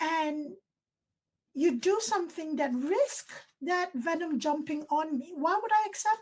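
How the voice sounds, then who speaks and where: A woman speaks at a fairly slow pace in an extremely high voice, with lively intonation and a Nigerian accent. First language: Ibibio. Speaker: nursing professor. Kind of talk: casual chat.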